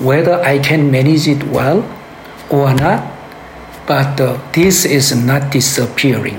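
A man's fairly high voice at a very slow pace, very even in loudness, fairly even in intonation, with long, frequent pauses and noticeable background noise. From Korea. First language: Korean. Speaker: pastor and activist. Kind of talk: interview conversation. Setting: in person, basement room with ambient noise. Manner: halting, searching for words.

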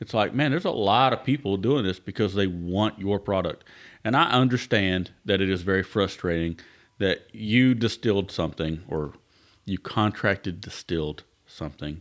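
A man with a Southern US accent, fairly low in pitch, lively intonation, a moderate pace, and a quiet background. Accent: Southern US (Georgia). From Georgia, US South. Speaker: podcast host. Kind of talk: casual chat. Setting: at co-host's home.

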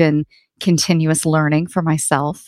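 In a very clean recording with a silent background and a dry, close sound with no echo, a woman with an American accent uses an ordinary speaking voice at fairly low pitch and a moderate pace. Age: 40s. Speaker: HR consultant and author. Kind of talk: interview.

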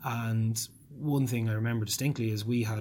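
A man speaks at a medium pitch with a slight Dublin accent. His intonation is monotone and flat. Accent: mild Dublin. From Ireland, South Dublin. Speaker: politician. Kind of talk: interview. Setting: office.

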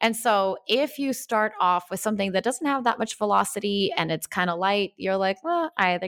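A woman with a Russian accent, medium pitch and lively intonation at a moderate pace, on a very clean recording with a silent background and a dry, close sound with no echo. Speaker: life coach. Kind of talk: interview.

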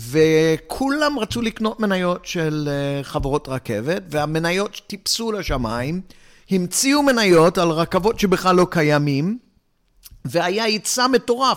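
A man with a high pitch and very wide pitch swings at a very slow pace, on a very clean recording with a silent background. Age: 60s. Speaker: financial planner. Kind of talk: interview.

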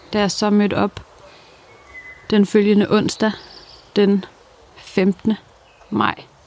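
Noticeable background noise sits under a woman at medium pitch whose monotone, flat speech goes at a very slow pace with long, frequent pauses. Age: 20s. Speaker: cancer patient sharing her story. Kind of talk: personal testimony.

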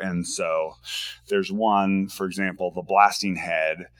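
The pace is fairly slow. The man has an American accent. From US Pacific Northwest, Washington State. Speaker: board game designer. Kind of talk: casual interview.

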